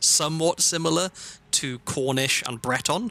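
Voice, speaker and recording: A man speaks with a slight Welsh accent and ordinary pitch variation. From South Wales. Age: 30s. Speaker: streamer. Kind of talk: gaming livestream chat. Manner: hesitant, many fillers.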